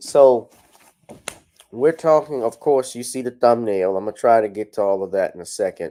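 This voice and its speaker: This voice has a dark, mellow tone, a moderate pace, ordinary pitch variation, and big swings in loudness. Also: man, medium pitch for a man. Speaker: lawyer and commentary show host. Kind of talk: livestream commentary. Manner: yawning, casual.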